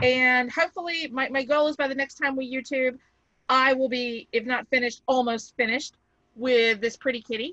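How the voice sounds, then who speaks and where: A woman speaks at a moderate pace in a raised, projected voice, her high pitch and bright, sharp tone carried on fairly even intonation. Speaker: crafting channel co-host. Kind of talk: casual chat.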